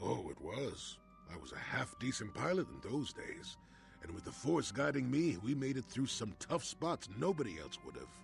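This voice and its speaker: Over clear music in the background, a man puts on a gruff, rumbling character voice at a moderate pace, with big swings in loudness. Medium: video game. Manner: gruff, grumbling, sardonic.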